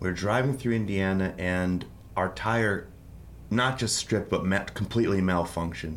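Audible room echo trails the man as he talks at a moderate pace. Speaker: musician and songwriter. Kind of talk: interview.

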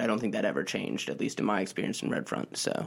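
A man is speaking. His voice has vocal fry. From US Mid-Atlantic, DC suburbs. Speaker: newspaper reporter. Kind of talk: casual interview.

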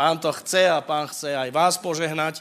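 In a very clean recording with a silent background, a man with a fairly high pitch and a bright, sharp tone speaks with ordinary pitch variation. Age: 60s. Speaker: preacher. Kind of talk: sermon.

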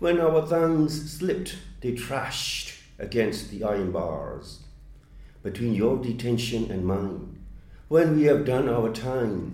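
With a Burmese accent, a man speaks at a fairly slow pace in a dark, mellow tone with vocal fry and lively intonation. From Myanmar. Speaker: poet. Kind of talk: interview.

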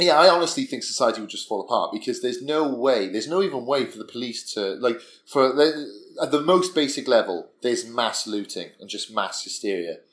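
An unremarkable speaking voice, a man's at medium pitch, runs at a fairly quick pace with lively intonation and big swings in loudness. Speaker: podcast co-host. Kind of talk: casual chat over drinks.

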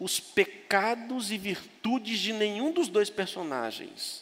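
There is noticeable background noise as a man speaks at a very slow pace. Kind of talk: sermon. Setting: church.

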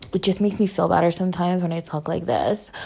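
A woman does a raspy, put-on character voice in an American accent. She talks at a very fast pace with a fairly low pitch.

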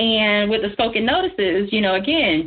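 A woman's lively intonation with a slightly husky edge. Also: medium pitch for a woman, moderate pace.

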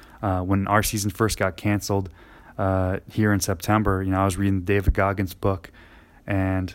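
The speaker is a man with an American accent. His voice has a fairly low pitch. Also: very clean recording, silent background. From New Jersey. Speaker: football coach. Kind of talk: solo podcast monologue. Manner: halting, many fillers.

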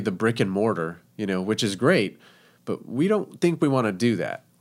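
Here is a man with a normal speaking voice. He keeps a moderate pace. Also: very clean recording, silent background. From Texas, El Paso. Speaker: chef, food truck owner. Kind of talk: casual interview chat.

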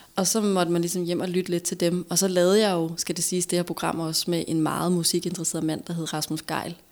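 A woman's fairly low-pitched voice at a very fast pace, monotone and flat in intonation, with hardly any pauses, on a very clean recording with a silent background. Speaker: former TV host, entrepreneur. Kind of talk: casual chat.

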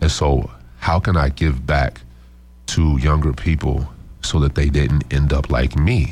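A man with an American accent, very deep and low in pitch, at a fairly slow pace with fairly even intonation, over noticeable background noise. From Midwest US, Chicago then Omaha and Lincoln. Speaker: DJ and nonprofit founder. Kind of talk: casual interview. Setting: radio studio. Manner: hesitant, many fillers.

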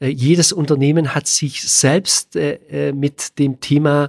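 A man's fairly high voice moves at a very slow pace with fairly even intonation. The sound is dry and close, with no echo. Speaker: business consultant. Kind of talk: podcast interview. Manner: frequent filler sounds.

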